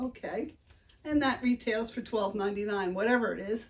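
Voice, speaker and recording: A woman speaks with an American accent. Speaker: unboxing video host. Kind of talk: casual unboxing chat.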